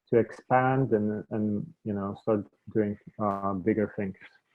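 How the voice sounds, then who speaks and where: A man speaks with a non-native accent. His intonation is fairly even. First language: not English. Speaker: media entrepreneur. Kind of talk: interview conversation.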